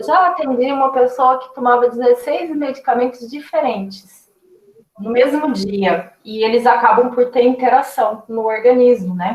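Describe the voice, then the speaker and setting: The loudness swings widely while the pitch varies in an ordinary way. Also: woman, high pitch for a woman, fairly slow pace. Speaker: nutritionist. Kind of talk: lecture.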